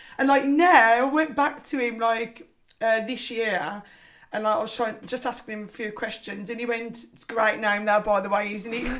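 Speaking in a Liverpool accent, a woman uses a fairly high pitch with ordinary pitch variation and a moderate pace. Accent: Scouse. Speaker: personal trainer and former swimming teacher. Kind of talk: casual chat. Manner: chatty, laughs often.

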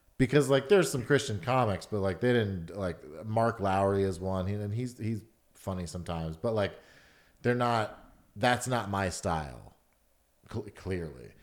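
In an American accent, a man with an unremarkable speaking voice talks at a moderate pace, his fairly low pitch showing ordinary variation, on a very clean recording with a silent background. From Atlanta, US South. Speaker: stand-up comedian. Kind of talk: casual chat.

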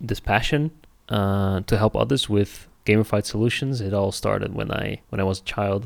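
A plain, everyday voice at a moderate pace, with ordinary pitch variation and a very clean recording over a silent background. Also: man, fairly low pitch for a man. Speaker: game studio founder. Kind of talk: casual interview chat.

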